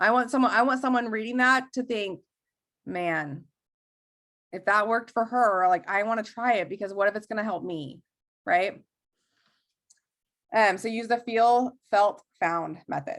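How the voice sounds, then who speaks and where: A woman's fairly high voice with ordinary pitch variation and long, frequent pauses. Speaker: network marketing trainer. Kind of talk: training talk on a group call. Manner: fast; casual, many fillers.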